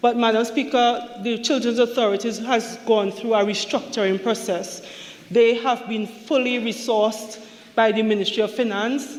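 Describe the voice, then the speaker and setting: Over noticeable background noise, a woman speaks at a fairly high pitch and moderate pace with fairly even intonation. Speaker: government minister. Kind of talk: parliamentary budget speech. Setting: parliament chamber. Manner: formal.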